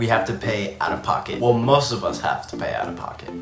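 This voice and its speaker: A man talks at a fairly quick pace with medium pitch and ordinary pitch variation. There is audible room echo and noticeable background noise. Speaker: YouTuber. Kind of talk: vlog monologue. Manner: animated.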